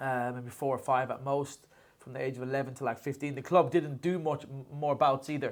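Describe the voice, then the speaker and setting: At a fairly quick pace, a man speaks with a fairly high pitch, monotone, flat intonation and big swings in loudness. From Ireland, Kenmare, County Kerry. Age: 30s. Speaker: boxing coach. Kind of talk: casual chat. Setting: gym.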